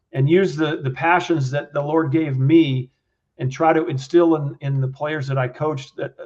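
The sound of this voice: A man speaks at a moderate pace, his pitch fairly high and his intonation fairly even.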